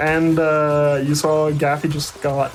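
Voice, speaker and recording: Over noticeable background noise, the speaker talks very slowly with a non-native accent. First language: not English. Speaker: speedrun commentator. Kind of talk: live commentary.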